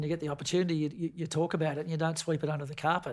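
A man speaks at a very fast clip. His voice is somewhat breathy. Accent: Australian. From Tasmania, Queenstown on the west coast. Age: 50s. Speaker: football coach. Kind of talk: casual interview.

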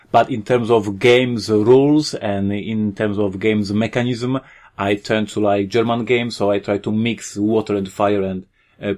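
A man with a Polish accent talks at a moderate pace in a fairly low pitch. His intonation is fairly even, and the background is quiet. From Poland. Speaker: board game designer and publisher. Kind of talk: interview.

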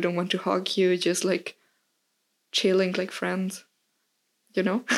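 The speaker talks at a fairly slow pace in a Spanish accent, with monotone, flat intonation and long, frequent pauses, on a very clean recording with a silent background. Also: woman. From Mexico. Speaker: podcast guest. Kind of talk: casual chat.

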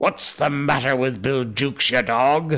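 A put-on character voice hisses with a menacing tone at a moderate pace. The recording is very clean, with a silent background. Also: man. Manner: hissing, menacing.

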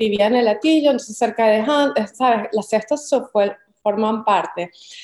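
A woman speaks with a Caracas accent and a fairly high pitch. Her tone is dark and mellow. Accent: Venezuelan Spanish (Caracas). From Venezuela, Caracas. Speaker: visual artist. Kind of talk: interview conversation.

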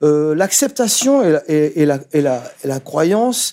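A very slow man's voice, fairly high in pitch, with a dark, mellow tone and lively intonation. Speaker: author and essayist. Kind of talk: intellectual interview. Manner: halting, many repetitions and fillers.

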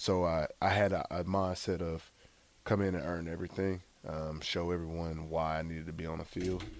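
In a Southern US accent, a man speaks at a moderate pace with a very deep, low pitch and monotone, flat intonation. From US South, Gulfport, Mississippi. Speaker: former college football quarterback. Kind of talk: interview.

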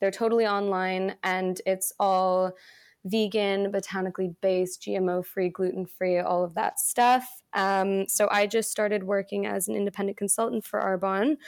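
Her pitch medium and her intonation fairly even, a woman talks at a moderate pace in a normal speaking voice. The recording is very clean, with a silent background. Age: 20s. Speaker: product sales consultant. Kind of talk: casual chat; sales pitch.

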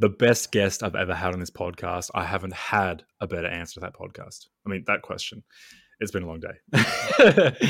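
A man with an Australian accent, fairly low and at a moderate pace, with ordinary pitch variation and big swings in loudness, on a very clean recording with a silent background. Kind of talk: casual chat. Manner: jokey.

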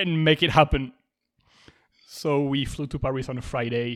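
A man speaks with a French accent at a moderate pace. His pitch varies in an ordinary way. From France. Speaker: podcast host. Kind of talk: casual chat.

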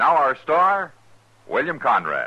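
At a fairly slow pace, a man speaks with a medium pitch and a slightly husky edge. His pitch makes very wide swings.

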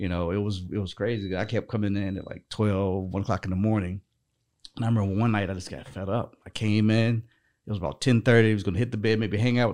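Talking very fast with an American accent, a man keeps a fairly low pitch and fairly even intonation in a very clean recording with a silent background. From North Carolina. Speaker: financial services business owner. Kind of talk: casual chat.

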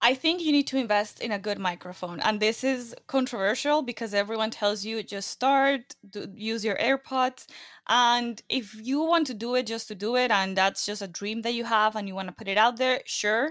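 At a moderate pace with hardly any pauses, a woman with a Latin American accent speaks at a fairly high pitch with ordinary pitch variation in a very clean recording with a silent background. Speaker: podcaster and entrepreneur. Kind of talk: interview conversation.

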